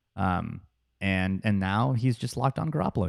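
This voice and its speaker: A man's fairly low voice with lively intonation. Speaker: sports podcast co-host. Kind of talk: casual chat. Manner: loud; hesitant, many fillers.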